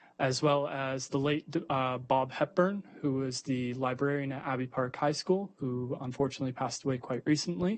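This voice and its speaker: A Canadian accent, ordinary pitch variation and a moderate pace. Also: man, medium pitch for a man. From Ontario, Canada. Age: 20s. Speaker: university student giving a delegation. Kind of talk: public delegation speech. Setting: school board meeting. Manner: hesitant, many fillers.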